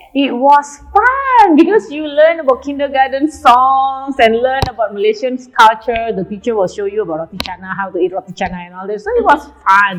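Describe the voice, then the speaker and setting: A woman with an Indonesian accent at a high pitch, with very wide pitch swings, big swings in loudness and hardly any pauses at a moderate pace, over noticeable background noise. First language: Javanese. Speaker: nutrition club owner. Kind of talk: casual chat. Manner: hesitant.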